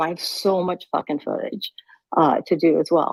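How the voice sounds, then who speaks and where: A woman's medium-pitched voice moves at a moderate pace, with pitch that varies in an ordinary way. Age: 60s. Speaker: filmmaker and former TV worker. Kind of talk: casual chat. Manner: animated.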